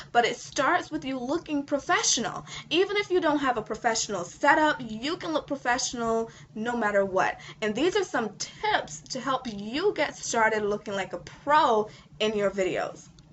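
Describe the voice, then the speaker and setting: With noticeable background noise, a woman talks at a moderate pace in a high voice that makes very wide pitch swings. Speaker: online marketing coach. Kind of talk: tutorial.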